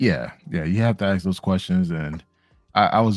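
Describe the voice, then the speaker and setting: Here is an ordinary speaking voice in an American accent. The tempo is average, and the pitch rises and falls a normal amount. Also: man, dry, close sound with no echo. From US, Miami. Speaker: panel guest. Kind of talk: casual chat.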